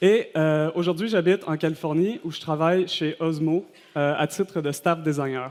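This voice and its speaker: A man with a Quebec accent at a moderate pace. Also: fairly high pitch for a man, fairly even intonation. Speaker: designer giving a conference talk. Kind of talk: conference presentation. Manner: hesitant, many fillers.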